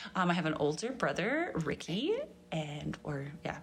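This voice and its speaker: Over noticeable background noise, a woman with a Canadian accent uses lively intonation at a very deep, low pitch. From Grand Prairie, Alberta, Canada. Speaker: podcast host, church women's ministry volunteer. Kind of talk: interview as guest, casual chat.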